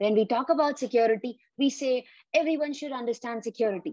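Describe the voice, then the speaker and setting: An unremarkable speaking voice moves at a fairly quick pace with ordinary pitch variation, in a dry sound with no echo and a quiet background. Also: woman. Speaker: interview host. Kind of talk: interview.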